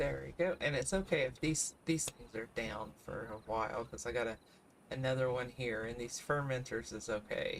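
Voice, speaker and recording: Moderately paced speech in a Kentucky accent. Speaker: gaming streamer. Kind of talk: casual gameplay commentary.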